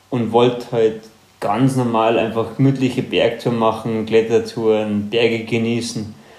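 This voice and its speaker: A man is speaking. Room echo can be heard. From Upper Bavaria, Germany (Ruhpolding). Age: 30s. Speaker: professional trail runner. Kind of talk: casual interview.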